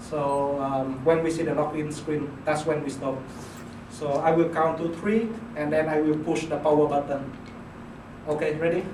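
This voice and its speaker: A man with a non-native accent talks at a moderate pace in a fairly high voice, his intonation flat and monotone. Long pauses come often, over noticeable background noise. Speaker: PhD student. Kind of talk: class presentation. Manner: hesitant, many fillers.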